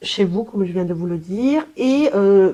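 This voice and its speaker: A woman speaks at a medium pitch with a dark, mellow tone. Her pace is moderate. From Colombia. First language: Spanish (speaking French). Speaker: language therapist. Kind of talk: professional self-presentation. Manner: hesitant, many fillers.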